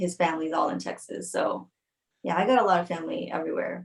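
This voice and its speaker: Vocal fry runs through this voice. The speaker has an American accent. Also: woman. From California Central Valley. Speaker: singer. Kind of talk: interview. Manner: hesitant, many fillers.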